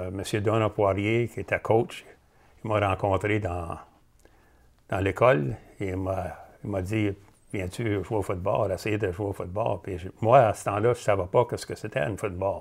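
A man speaks at a fairly slow pace, somewhat breathy, with fairly even intonation. He leaves long, frequent pauses. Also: fairly low pitch for a man. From Cornwall, Ontario (Franco-Ontarian); Ontario. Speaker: retired professional football player; interview guest. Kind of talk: interview. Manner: halting, many fillers and repeats. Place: studio. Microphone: lapel.

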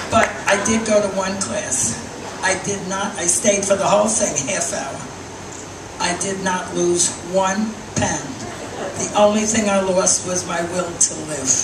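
Over noticeable background noise, a woman talks at a fairly slow pace with fairly even intonation and long, frequent pauses. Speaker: stand-up comedian. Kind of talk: stand-up comedy set.

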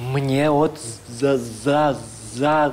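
A man's put-on character voice, fairly high in pitch, over clear background noise. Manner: stuttering.

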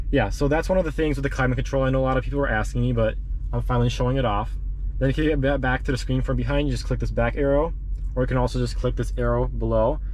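A man talks at a very fast pace with very even loudness. The sound is dry with no echo, and there is light background noise. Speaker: car owner reviewing a radio. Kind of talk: tutorial walkthrough. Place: car. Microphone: phone near.

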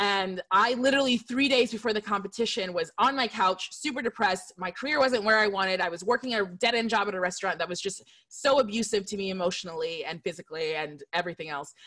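A woman speaks very fast in a bright, sharp tone, with hardly any pauses. Her intonation is lively, and the background is quiet. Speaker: screenwriter on a panel. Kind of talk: panel discussion personal story. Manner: fast talker. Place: home room. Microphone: studio mic.

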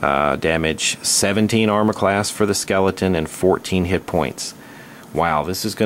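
It's a natural reading voice with ordinary pitch variation.

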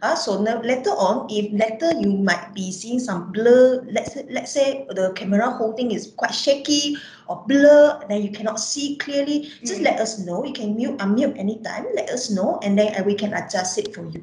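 Amid light background noise and audible room echo, a woman with a fairly high pitch speaks at a moderate pace, with hardly any pauses and ordinary pitch variation. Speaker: biology lecturer. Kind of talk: online workshop introduction. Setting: video call. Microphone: video call.

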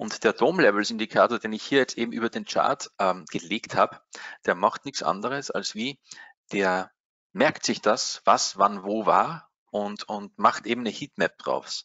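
A man with an Austrian accent speaks at a fairly slow pace. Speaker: trading software support expert. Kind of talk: webinar tutorial.

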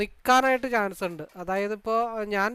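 Recorded very cleanly against a silent background, a man speaks at a high pitch with a bright, sharp tone. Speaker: stock market analyst and trading mentor. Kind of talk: market analysis tutorial.

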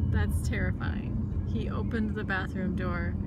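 A woman at a fairly slow pace, dry sound with no echo, loud background noise behind her. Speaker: parent vlogger. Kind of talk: casual vlog chat. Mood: cheerful, amused. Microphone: phone near.

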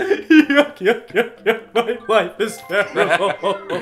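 A whiny put-on character voice, fairly high in pitch and very slow in pace, over clear background noise. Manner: mock-sad, whiny complaining.

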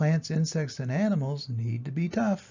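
With lively intonation and a moderate pace, a man speaks at a fairly high pitch in a dark, mellow tone carrying a slightly husky edge.

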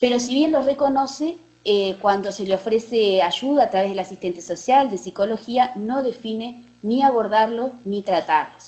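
A woman with a normal speaking voice keeps a moderate pace, her fairly high pitch varying in an ordinary way. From Uruguay. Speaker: oncologist; presenter. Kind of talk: case presentation. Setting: video call. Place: hall.

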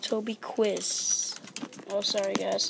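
Over noticeable background noise, a woman speaks with a fairly high pitch. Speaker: gaming video creator. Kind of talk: let's play commentary. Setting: library. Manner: animated; talking quietly.

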